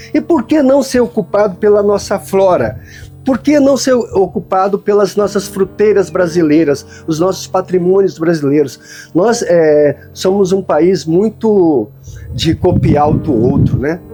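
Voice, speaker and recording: Over music in the background, a man with a high-pitched voice talks fairly slowly, his intonation lively and his loudness very even. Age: 70s. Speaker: tree planter and seed collector. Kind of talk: casual talk to camera outdoors. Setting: outdoors.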